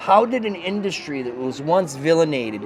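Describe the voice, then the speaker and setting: Through noticeable background noise, a man speaks in an animated tone with lively intonation and a Boston accent. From Boston, US. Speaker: network marketing leader. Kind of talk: interview. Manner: animated, with many fillers.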